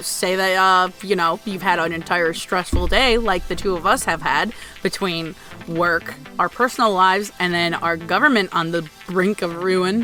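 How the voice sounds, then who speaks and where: Ordinary pitch variation at a moderate pace, music playing in the background. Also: woman, medium pitch for a woman. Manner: steadily changing.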